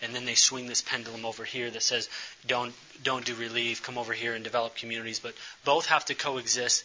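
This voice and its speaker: Noticeable background noise sits behind a man. He talks at a fairly quick pace with monotone, flat intonation. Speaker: speaker on community development and missions. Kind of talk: presentation with slides. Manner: fast.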